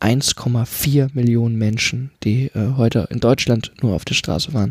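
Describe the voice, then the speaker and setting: A man talks very slowly with ordinary pitch movement, captured on a very clean recording against a silent background. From rural Germany. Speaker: podcast co-host. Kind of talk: casual political discussion.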